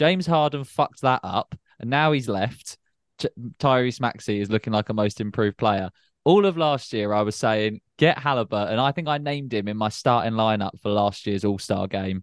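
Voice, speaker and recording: With a British accent, the speaker talks at a moderate pace with ordinary pitch variation, the sound dry and close with no echo over a quiet background. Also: man, medium pitch for a man. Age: 20s. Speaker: podcast co-host. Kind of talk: casual chat.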